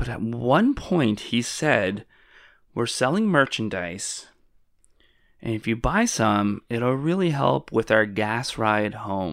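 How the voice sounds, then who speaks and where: Very slowly, a man speaks at a medium pitch with lively intonation. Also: very clean recording, silent background. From Canada. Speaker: podcast host. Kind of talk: casual comedic chat. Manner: joking, sarcastic.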